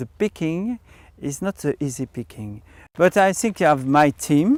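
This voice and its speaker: A man's fairly high, fairly slow voice in a French accent with very wide pitch swings, on a very clean recording with a silent background. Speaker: winemaker. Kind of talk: interview. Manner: halting.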